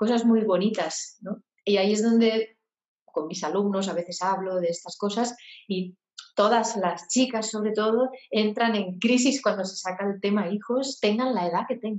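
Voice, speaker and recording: Here a woman uses an ordinary speaking voice, fairly high in pitch and fairly even in intonation, at a moderate pace. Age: 40s. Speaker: singer-songwriter and voice therapist. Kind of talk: interview.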